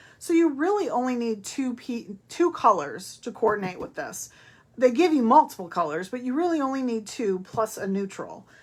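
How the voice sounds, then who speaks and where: A woman speaks at a high pitch with very wide pitch swings. Her loudness also swings widely. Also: moderate pace. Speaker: papercraft demonstrator. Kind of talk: craft tutorial.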